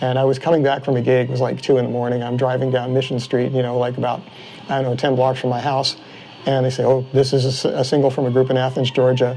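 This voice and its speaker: Over noticeable background noise, a man at medium pitch talks very fast in a monotone, flat intonation. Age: 60s. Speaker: bicycle frame builder. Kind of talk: interview. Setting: workshop.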